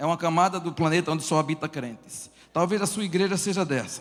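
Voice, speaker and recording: With a northeastern Brazilian accent, a man speaks at a fairly quick pace. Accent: Brazilian Northeastern accent, noticeable. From Northeast Brazil. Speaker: pastor and church planter. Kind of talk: conference talk.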